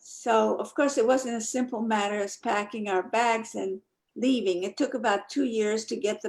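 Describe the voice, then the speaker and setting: With a Polish accent, a woman talks at a moderate pace in a fairly high voice with ordinary pitch variation. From Poland, Krakow area; moved to New Jersey at 11. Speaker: Holocaust survivor, speaker. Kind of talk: testimony.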